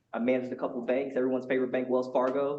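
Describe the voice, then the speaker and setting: Over audible room echo, a man rattles along at a very fast pace, medium in pitch and monotone, with flat intonation. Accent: American. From Georgia, US South. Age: 40s. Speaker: marketing director. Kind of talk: self-introduction. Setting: meeting room with audience.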